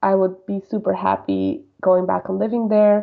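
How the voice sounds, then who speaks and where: A woman talks at a moderate pace in a Spanish accent. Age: 20s. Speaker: podcast guest. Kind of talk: interview. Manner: casual, filler-heavy.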